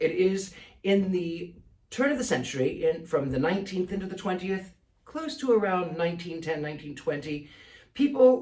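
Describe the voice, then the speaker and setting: The speaker talks at a moderate pace with a Mid-Atlantic accent. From American.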